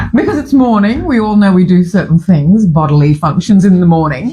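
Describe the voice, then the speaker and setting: A woman speaks at a medium pitch and moderate pace, somewhat breathy. Her tone is dark and mellow, her intonation lively. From Fiji. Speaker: breakfast show host. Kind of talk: casual chat. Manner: halting.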